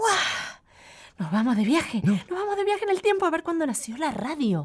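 A woman at a fairly slow pace, with very wide pitch swings, over noticeable background noise. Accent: Rioplatense. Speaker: radio host. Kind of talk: children's radio show. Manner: animated.

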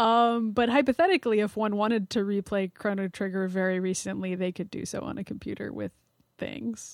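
A woman of medium pitch at a fairly quick pace, in a very clean, dry, close recording with a silent background and no echo. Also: ordinary pitch variation. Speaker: games journalist. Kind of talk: casual chat.

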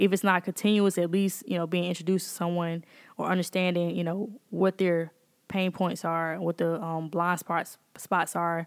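The recording is very clean with a silent background. A woman with a Mississippi accent speaks in a fairly low pitch with monotone, flat intonation. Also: moderate pace. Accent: US Southern (Mississippi). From Jackson, Mississippi. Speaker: computer scientist and tech founder. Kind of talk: interview conversation.

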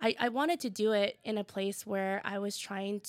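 In an American accent, a plain, everyday voice speaks at a moderate pace with a dry, close sound with no echo. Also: woman. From Tacoma, Washington, US. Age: 30s. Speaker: food content creator and storyteller. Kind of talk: interview.

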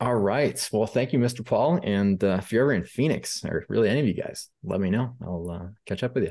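With an American accent, this voice has a dark, mellow tone and lively intonation, moving at a moderate pace over a quiet background. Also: man, medium pitch for a man. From US Midwest, Rockford, Illinois. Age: 20s. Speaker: applications programmer. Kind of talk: casual interview. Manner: halting, many fillers.

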